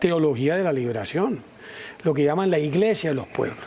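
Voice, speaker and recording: Using an ordinary speaking voice, a man keeps a moderate pace and his intonation lively. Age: 60s. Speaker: politician and columnist. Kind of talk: TV news interview.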